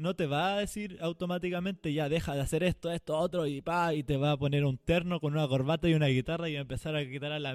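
A man's fairly high, animated voice at a fairly quick pace. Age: 20s. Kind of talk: casual devotional talk.

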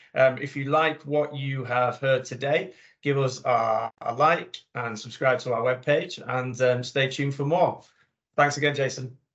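A man at a fairly slow pace and medium pitch, with a plain, everyday voice. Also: fairly even intonation. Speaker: podcast host. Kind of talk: interview conversation.

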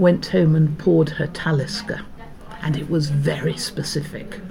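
A woman's very deep, low voice with audible room echo and noticeable background noise. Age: 60s. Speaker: food writer. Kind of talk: casual chat. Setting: small hut by a bay.

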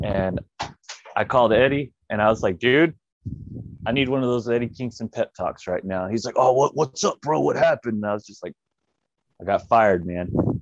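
A man speaks with a Texan accent at a medium pitch, with ordinary pitch variation and a fairly quick pace. Long pauses come often, and the sound is dry and close with no echo. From West Texas, small town. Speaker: professional wrestler. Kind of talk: interview. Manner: casual.

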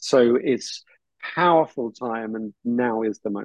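A man speaks with a British accent. His intonation is fairly even. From southern England. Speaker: filmmaker and educator. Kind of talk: interview.

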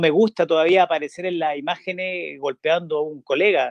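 An unremarkable speaking voice, moderately paced, its pitch varying in an ordinary way. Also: man. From northern Chile (Vallenar, La Serena). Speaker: former footballer. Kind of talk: interview.

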